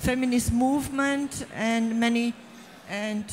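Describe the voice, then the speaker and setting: Amid noticeable background noise and audible room echo, a woman speaks very slowly at a fairly high pitch with fairly even intonation. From Czechoslovakia. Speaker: author. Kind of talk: stage panel discussion. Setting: stage with audience. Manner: halting.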